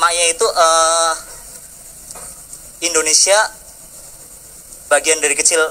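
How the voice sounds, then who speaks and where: Speaking at a fairly slow pace with long, frequent pauses, a man with a Central Javanese accent uses a high pitch and monotone, flat intonation. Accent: Central Javanese accent, noticeable. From Central Java (Bumiayu). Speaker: audience member asking a question. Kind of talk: question from the floor at a discussion forum. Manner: hesitant, many fillers.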